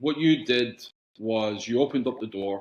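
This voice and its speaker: Speaking at a medium pitch, a man talks in a Scottish accent. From Scotland, Glasgow, raised partly in England. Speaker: soccer club executive, former player. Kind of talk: casual interview chat.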